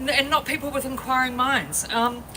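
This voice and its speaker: Against noticeable background noise, a woman with a New Zealand accent talks at a moderate pace. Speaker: activist speaker. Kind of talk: protest speech. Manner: loud.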